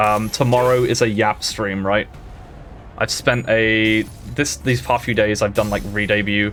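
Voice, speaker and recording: Fairly low male voice at a moderate pace, with ordinary pitch variation and music in the background. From Britain. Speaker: VTuber streamer. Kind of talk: casual gaming livestream.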